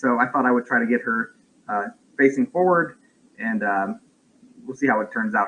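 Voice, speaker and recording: A man's medium-pitched voice with lively intonation at a moderate pace. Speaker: parent of a medically complex child, vlogger. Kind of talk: livestream chat. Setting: home livestream. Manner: loud; halting.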